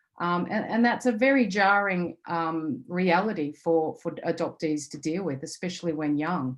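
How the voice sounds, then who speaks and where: A woman with an Australian accent, fairly low pitch, lively intonation, moderate pace and hardly any pauses. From Australia, rural Victoria. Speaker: intercountry adoptee advocate. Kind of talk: webinar panel talk.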